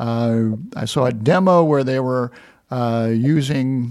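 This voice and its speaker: A man with an American accent, an ordinary speaking voice, and ordinary pitch variation. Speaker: podcast host, manufacturing center director. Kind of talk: casual interview.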